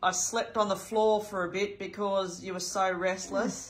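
A woman with an Australian accent, fairly slow and monotone, her intonation flat. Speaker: family carer filming. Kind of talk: casual talk, interviewing family member. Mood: gentle, warm, reminiscing.

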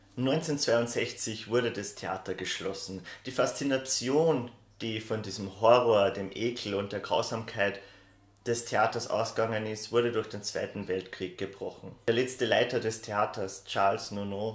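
A man talks at a moderate pace with fairly even intonation, and some room echo is audible. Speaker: horror video creator. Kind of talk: casual explainer commentary. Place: home room.

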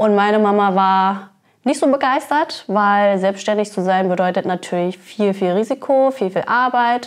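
A woman's fairly slow speech, with ordinary pitch variation, sits over a quiet background. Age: 30s. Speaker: cannabis fair co-founder; guest. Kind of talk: interview. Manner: hesitant with fillers. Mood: friendly, animated. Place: office. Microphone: lapel.

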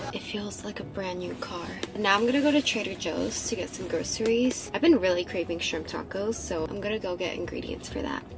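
A woman at a fairly quick pace with hardly any pauses, amid noticeable background noise. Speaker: vlogger. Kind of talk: casual vlog chat. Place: car. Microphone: phone near.

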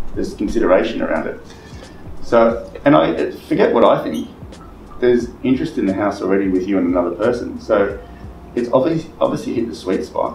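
The speech moves at a fairly quick pace, with music in the background and audible room echo. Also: man. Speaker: real estate trainer. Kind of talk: coaching talk to colleagues. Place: meeting room. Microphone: camera far.

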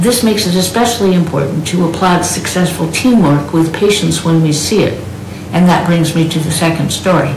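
Speech at a moderate pace comes with audible room echo and light background noise. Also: woman. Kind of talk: prepared speech introducing a keynote. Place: home room.

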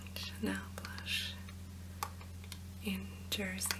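A woman talks very slowly while loud background noise fills the clip. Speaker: ASMR creator. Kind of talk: ASMR makeup rummage, soft-spoken talk to camera. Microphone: camera far.

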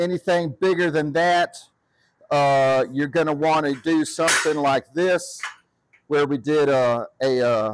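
A man speaks fairly slowly with long, frequent pauses and very even loudness. The sound is dry with no echo, though background noise is noticeable. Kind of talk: tutorial. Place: workshop. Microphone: phone near.

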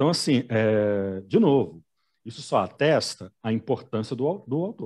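At a fairly slow pace, a man with a medium pitch and lively intonation speaks in a plain, everyday voice. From Belo Horizonte, Brazil. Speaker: telenovela commentator. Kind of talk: casual chat.

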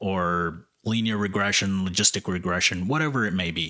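A man with a very deep, low pitch and a bright, sharp tone speaks with ordinary pitch variation over a quiet background. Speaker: YouTube educator on machine learning. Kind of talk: opinionated rant to camera about why math matters. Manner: emphatic, insistent; conversational, repeatedly addressing viewers. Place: home room. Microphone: studio mic.

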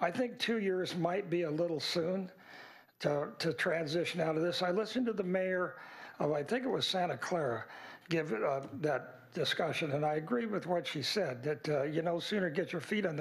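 Over a quiet background, a man with an American accent speaks at a high pitch with ordinary pitch variation. His loudness stays very even and his pace is moderate. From California. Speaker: semi-retired real estate developer, committee applicant; committee applicant at public interview. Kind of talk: public interview. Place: hall. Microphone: podium.

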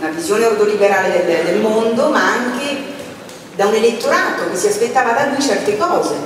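At a fairly quick pace, the voice comes through strong room echo and light background noise. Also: woman. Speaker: moderator presenting a book. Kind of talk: panel introduction. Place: stage.

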